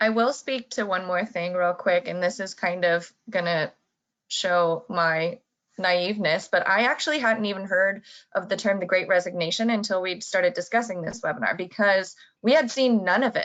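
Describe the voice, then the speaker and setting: A woman at medium pitch, a normal speaking voice, moderate pace, ordinary pitch variation, quiet background. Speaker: association marketing specialist. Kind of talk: webinar presentation.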